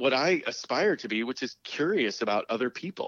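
Speaking at a fairly quick pace, a man with a medium-pitched voice uses lively intonation. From West Virginia. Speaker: HIV advocate. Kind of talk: interview.

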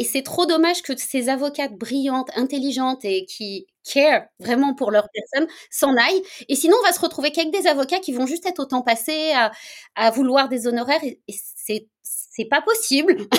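A woman's high-pitched, animated voice with lively intonation at a moderate pace, in a very clean recording with a silent background. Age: 40s. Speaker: lawyer and wellness coach. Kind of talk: interview.

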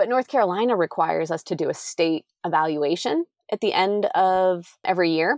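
In an American accent, a woman with a plain, everyday voice speaks at a moderate pace and fairly low pitch, in a very clean recording with a silent background and a dry, close sound with no echo. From Pennsylvania. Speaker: RV traveler and homeschooling mom. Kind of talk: casual interview.

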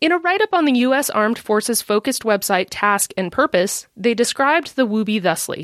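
A woman with a General American accent speaks fairly quickly, with hardly any pauses and very even loudness. Her fairly high voice swings very widely in pitch, and the sound is dry and close with no echo. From US Midwest. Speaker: podcast host. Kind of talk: scripted narration.

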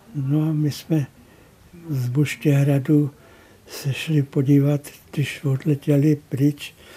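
A man with a fairly high pitch speaks very slowly in a flat monotone, his tone dark and mellow and somewhat breathy. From northern Bohemia, near Teplice. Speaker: painter. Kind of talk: interview reminiscence.

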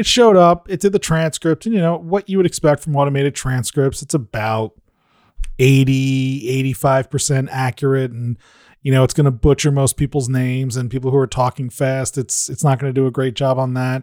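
A man has a normal speaking voice at a medium pitch with ordinary variation and a moderate pace. The sound is dry and close, with no echo. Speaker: podcast consultant. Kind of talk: casual chat. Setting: studio.

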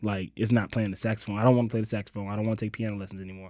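Speaking at a very fast pace, a man with fairly low pitch and a dark, mellow tone keeps his intonation fairly even. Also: very clean recording, silent background. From Los Angeles, born in Mississippi. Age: 30s. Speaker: writer and comedic performer. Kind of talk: casual chat.

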